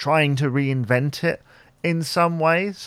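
A man with a normal speaking voice and ordinary pitch variation speaks at a fairly slow pace in a very clean recording with a silent background. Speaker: podcast host. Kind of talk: casual solo Q&A podcast.

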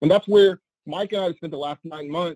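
A man's plain, everyday voice at a moderate pace with fairly even intonation. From US South, New Orleans. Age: 40s. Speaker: content creator. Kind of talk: casual chat. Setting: video call.

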